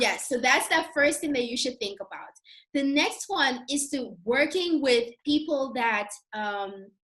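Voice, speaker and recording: In a Curaçao accent, a woman speaks at a fairly slow pace with a high pitch and lively intonation. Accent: Caribbean (Curacao) accent in English. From Curacao, Caribbean. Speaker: YouTuber and account manager. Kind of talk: casual interview chat.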